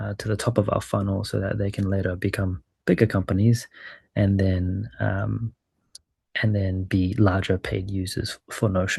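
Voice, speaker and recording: A man with a New Zealand accent speaks at a moderate pace in a fairly low, somewhat breathy voice. His intonation stays flat and monotone against a quiet background. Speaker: startup growth lead and former venture capitalist. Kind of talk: webinar presentation.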